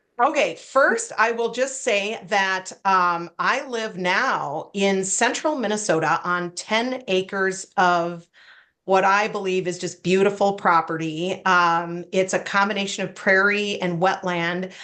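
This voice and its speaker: Speaking in an American accent, a woman keeps a medium pitch and ordinary pitch variation with a bright, sharp tone. Her fairly slow pace has hardly any pauses, over a quiet background. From US Midwest, Wisconsin. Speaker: retired prosecutor and memoir author. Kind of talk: interview.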